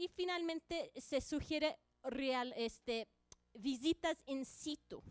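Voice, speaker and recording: In a dry, close recording with no echo, a woman talks in a high pitch. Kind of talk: conference presentation.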